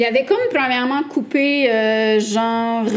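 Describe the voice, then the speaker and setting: A woman speaks with a fairly high pitch. There is noticeable background noise behind her. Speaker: podcast co-host. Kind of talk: casual chat. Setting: live recording with audience.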